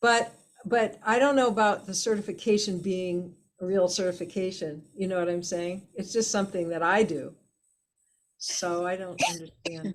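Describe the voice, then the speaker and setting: Her voice sits at a medium pitch for a woman, an ordinary speaking voice with ordinary pitch variation. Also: moderate pace. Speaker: healing method teacher and facilitator. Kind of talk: interview. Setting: video call.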